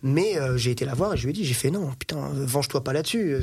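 A somewhat breathy man talks at a fairly quick pace, fairly high in pitch, with lively intonation. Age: 30s. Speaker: car mechanic and dealer. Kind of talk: casual chat.

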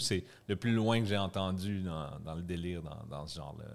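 This man has a fairly low pitch with ordinary pitch variation. His pace is fairly slow. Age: 30s. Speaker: youth hostel owner. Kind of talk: casual chat.

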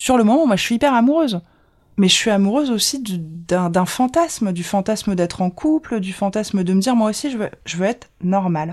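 A woman speaks at a fairly quick pace against a quiet background. Her medium-pitched voice has lively intonation. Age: 30s. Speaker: communications officer sharing dating story. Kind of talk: personal testimony. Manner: hesitant, many fillers.

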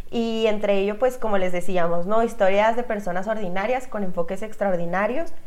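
Hardly pausing, a woman speaks at a moderate pace and medium pitch with ordinary pitch variation, and room echo is audible. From Chihuahua, northern Mexico. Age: 20s. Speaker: podcast co-host. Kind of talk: casual chat.

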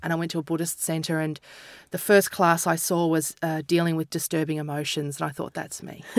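In an Australian accent, a woman with a fairly low pitch speaks at a fairly quick pace in a monotone, flat intonation, on a very clean recording with a silent background. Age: 40s. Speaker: comedian and author. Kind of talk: casual chat.

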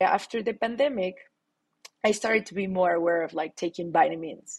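A woman talks with a Latin American accent. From Mexico City. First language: Spanish. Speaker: startup founder. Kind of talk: interview.

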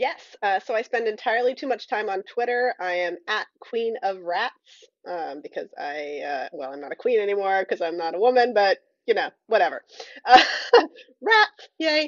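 A woman at a fairly high pitch and moderate pace, with very wide pitch swings and big swings in loudness. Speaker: librarian and literary critic. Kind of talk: casual chat.

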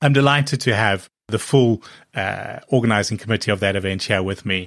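At a fairly quick pace, a normal speaking voice shows ordinary pitch variation in a very clean recording with a silent background. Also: man. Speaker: podcast host. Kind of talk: interview.

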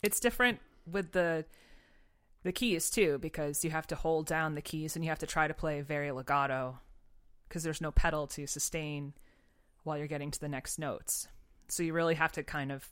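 Someone with an American accent talks at a fairly quick pace with ordinary pitch variation and long, frequent pauses. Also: woman, very deep, low pitch for a woman, very clean recording, silent background. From western Massachusetts. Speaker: middle school band teacher. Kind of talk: casual chat.

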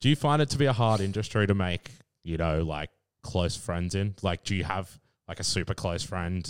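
The recording is dry and close with no echo, carrying a man's very deep, low voice. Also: very clean recording, silent background. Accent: Australian. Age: 20s. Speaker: podcast co-host. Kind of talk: casual chat. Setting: at the guest's home.

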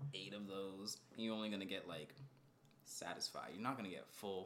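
Noticeable background noise sits behind this man's voice. He talks at a fairly quick pace with fairly low pitch. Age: 20s. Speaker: podcast co-host. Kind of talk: casual chat. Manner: animated.

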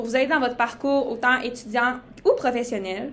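A woman is speaking with a high pitch. Her pace is moderate. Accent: Saguenay. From Quebec, Saguenay-Lac-Saint-Jean. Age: 19. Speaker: podcast co-host, medical student. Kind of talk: casual podcast introduction.

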